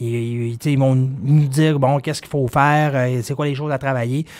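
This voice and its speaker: A man talks at a moderate pace in a medium pitch with ordinary pitch variation. It is an ordinary speaking voice. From Quebec, Dolbeau-Mistassini. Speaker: wealth management advisor. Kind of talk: explanatory interview. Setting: studio.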